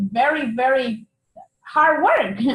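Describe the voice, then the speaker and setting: The speaker has a Spanish accent. Their pitch varies in an ordinary way. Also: woman. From Mexico (Oaxaca). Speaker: tax preparer, business owner. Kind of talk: interview.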